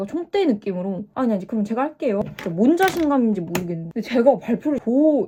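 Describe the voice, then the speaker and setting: A woman races along at a very fast pace with hardly any pauses, her fairly high pitch swinging very widely in an animated tone. Noticeable background noise sits behind her. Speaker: YouTuber storyteller. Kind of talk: casual storytime while doing makeup.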